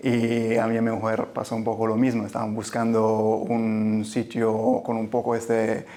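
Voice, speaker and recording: A man with an Italian-Swiss accent speaks at a medium pitch with monotone, flat intonation. His pace is fairly slow, with hardly any pauses. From Italian-speaking Switzerland. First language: Italian (speaking Spanish). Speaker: general surgeon. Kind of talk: interview. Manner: halting, many repetitions.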